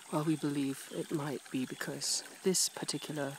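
A soft-spoken man whispers, with a dry sound and no echo. Noticeable background noise is present. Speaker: PhD researcher doing fieldwork. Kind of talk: nature documentary-style commentary to camera. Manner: whispered, soft-spoken. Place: waterside. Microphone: phone near.

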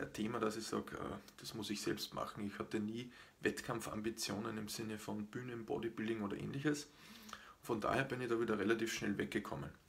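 Vocal fry colors a man's voice as he talks at a fairly quick pace. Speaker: fitness channel host. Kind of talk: live stream explainer talk. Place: home room.

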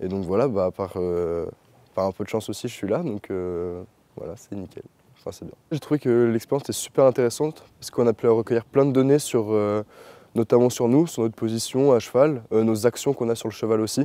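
Dry and without echo, a man's dark, mellow voice moves at a fairly quick pace with big swings in loudness and ordinary pitch variation. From France, Chartres; France. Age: young. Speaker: equestrian trainee. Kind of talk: testimony. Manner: halting, many fillers. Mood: calm, pleased. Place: open country.

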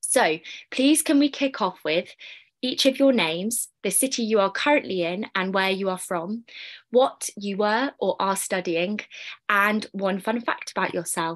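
A woman of medium pitch speaks at a fairly slow pace with lively intonation against a quiet background. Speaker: panel moderator. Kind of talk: moderated online panel. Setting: video call. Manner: formal. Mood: friendly, upbeat. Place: home room. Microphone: video call.

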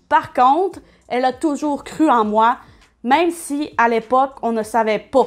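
A woman with a Quebec accent, high-pitched, with lively intonation at a fairly slow pace. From Quebec, Saguenay. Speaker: YouTuber. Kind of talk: personal testimony. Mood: reflective, candid. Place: home room. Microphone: webcam.

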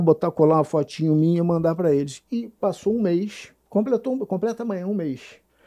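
Against a quiet background, the voice has a dark, mellow tone. It moves at a moderate pace with ordinary pitch variation. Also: man. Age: 50s. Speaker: co-host, jiu-jitsu practitioner; co-host. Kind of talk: casual chat. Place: studio. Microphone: studio mic.

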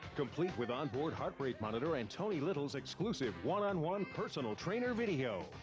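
Over music in the background, a man with a fairly high pitch speaks at a fairly quick pace with very wide pitch swings, very even loudness and hardly any pauses. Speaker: announcer. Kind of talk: TV commercial voice-over.

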